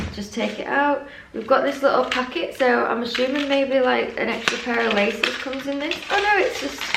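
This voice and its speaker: In an English accent, a woman speaks with ordinary pitch variation amid noticeable background noise and audible room echo. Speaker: fashion YouTuber. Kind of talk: casual unboxing vlog.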